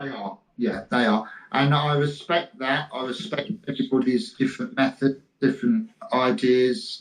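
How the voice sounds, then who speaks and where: This man has an unremarkable speaking voice, pitched fairly high. His intonation is lively and his pace moderate. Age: 60s. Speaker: urban explorer, video creator. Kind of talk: casual interview chat. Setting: livestream with chat.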